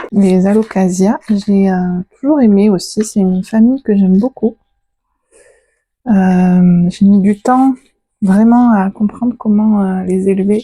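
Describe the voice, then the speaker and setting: A woman's somewhat breathy, dark, mellow voice at medium pitch, very slow, with long, frequent pauses, very even loudness and fairly even intonation. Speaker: plant and animal vlogger. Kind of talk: casual vlog talk to camera.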